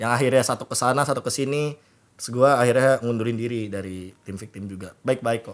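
Here a man talks at a very fast pace. His intonation is fairly even. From Indonesia. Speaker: esports analyst and caster; podcast guest. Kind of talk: casual chat. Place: studio. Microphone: studio mic.

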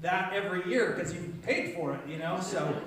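Strong room echo with light background noise. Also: man. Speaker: pastor leading children's talk. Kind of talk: children's sermon. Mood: warm, playful.

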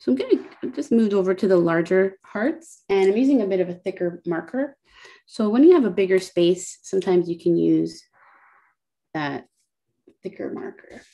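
Against a quiet background, a dark, mellow tone carries lively intonation. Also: woman, medium pitch for a woman, moderate pace. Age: 30s. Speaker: illustrator and workshop instructor; doodling workshop host. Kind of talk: tutorial. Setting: video call. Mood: calm, relaxed. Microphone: video call.

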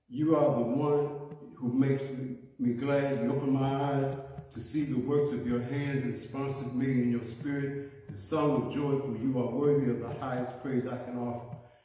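A moderate pace with fairly even intonation, in strong room echo. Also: man, medium pitch for a man. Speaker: church prayer leader. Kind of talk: fervent prayer. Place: church. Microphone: phone near.

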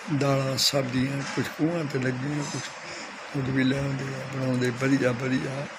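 This man's voice sits at a medium pitch. Noticeable background noise runs under it. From Punjab, India. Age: 80s+. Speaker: marathon runner. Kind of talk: interview answer. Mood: reminiscing about old rural life. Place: home room. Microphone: phone near.

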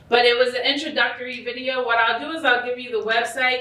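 A woman with an American accent speaks in a high, animated voice at a fairly quick pace, with audible room echo. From New York. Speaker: school social-emotional learning coordinator. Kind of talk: conference presentation. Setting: stage with audience. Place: hall. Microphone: camera far.

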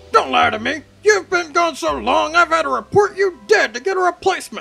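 Faint music sits in the background of speech delivered at a fairly quick pace. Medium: machinima. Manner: irritable, blustering.

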